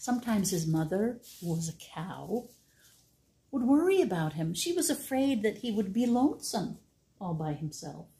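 Somewhat breathy, a woman's voice carries a dark, mellow tone and very wide pitch swings. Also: medium pitch for a woman. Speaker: library storytime reader. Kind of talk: bedtime story reading, picture-book read-aloud to children. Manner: gentle, warm and animated, with playful sound effects; slow, clear, child-friendly pacing. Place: home room. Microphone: phone near.

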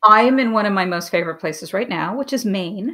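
A woman's bright, sharp voice with lively intonation over a quiet background. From New York City, Manhattan; New York City. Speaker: TV and film writer-producer; guest. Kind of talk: casual interview chat. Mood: relaxed, reflective.

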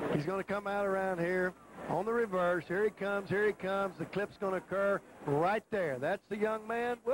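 Over noticeable background noise, a man with a Southern US accent speaks in a high voice, the sound dry and close with no echo. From Texas. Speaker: football color analyst, former coach. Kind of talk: live commentary. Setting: stadium broadcast booth. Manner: folksy.

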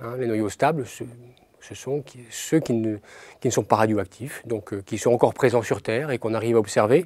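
Speaking at a moderate pace, a man shows ordinary pitch variation and big swings in loudness. The sound is dry, with no echo. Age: 40s. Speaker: nuclear physicist. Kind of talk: interview. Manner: halting. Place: studio.

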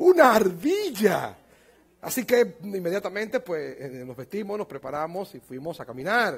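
Speaking fairly slowly, a man with a high voice makes big swings in loudness and very wide swings in pitch. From Dominican Republic. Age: 50s. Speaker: pastor. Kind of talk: sermon. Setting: church conference with audience. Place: church. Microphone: headset.

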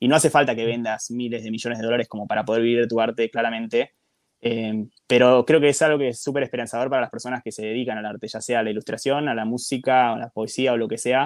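Delivered in a monotone with flat intonation, a man's very fast speech has a dry, close sound with no echo. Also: medium pitch for a man. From Argentina. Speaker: podcaster, guest on another podcast. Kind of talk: casual chat.

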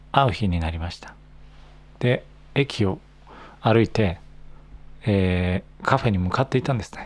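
A man speaks at a moderate pace in a relaxed tone, with fairly low pitch and ordinary pitch variation. His loudness swings widely, and his pauses are long and frequent. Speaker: Japanese language teacher podcaster. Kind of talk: casual monologue for learners. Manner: natural speed, relaxed. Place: home room. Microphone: handheld.

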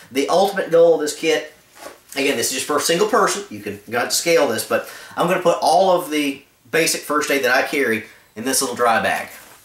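A man at a very fast pace, with audible room echo. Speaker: outdoor gear reviewer. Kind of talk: casual vlog rant. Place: home room. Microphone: camera far.

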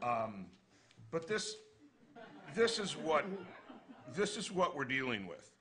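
A man with a high pitch speaks at a very slow pace, with long, frequent pauses and very wide pitch swings. Noticeable background noise is present. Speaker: defense attorney, former prosecutor. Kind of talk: panel talk. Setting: stage with audience.

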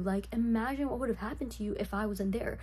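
Her voice is quiet and she talks at a fairly quick pace. There is light background noise behind this woman. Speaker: vlogger. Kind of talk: casual movie recap commentary. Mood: sarcastic, amused. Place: home room. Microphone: phone near.

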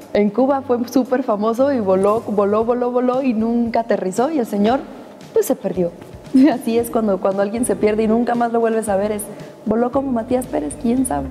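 A woman's fairly high voice at a fairly quick pace, with light background noise. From Cuba. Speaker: actress. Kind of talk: interview answer. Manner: casual, upbeat. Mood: playful, animated. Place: studio. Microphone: lapel.

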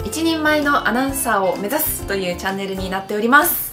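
A raised, projected voice with lively intonation moves at a fairly quick pace over clear background music. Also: woman. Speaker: TV announcer. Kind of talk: game channel intro to camera. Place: studio.

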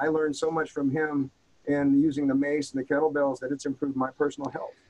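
Delivered at a very fast pace with an American accent, the speech stays monotone and flat over noticeable background noise. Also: man. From rural US. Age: 60s. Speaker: former marine and martial arts instructor. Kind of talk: casual interview. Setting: in person, same room.

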